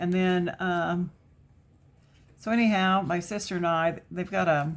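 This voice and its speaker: Here a woman talks at a fairly low pitch. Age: 60s. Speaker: craft YouTuber. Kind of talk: casual chat while crafting. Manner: chatty, with many fillers.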